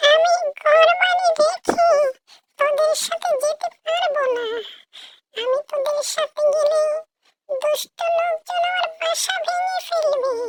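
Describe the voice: A woman's cartoonish character voice, extremely high and very slow, with very wide pitch swings and a dry, close sound lacking echo.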